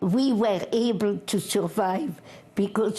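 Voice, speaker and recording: Using a French accent, a woman speaks at a very slow pace with a medium pitch and ordinary pitch variation. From France. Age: 80s+. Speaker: war veteran, former resistance spy. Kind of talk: interview answer.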